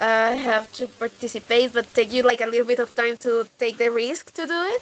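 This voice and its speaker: Her voice is fairly high in pitch, with fairly even intonation and a moderate pace, as a woman speaks with a Colombian accent. The sound is dry and close, with no echo. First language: Spanish. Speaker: English teacher. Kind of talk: class feedback. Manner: hesitant, many fillers.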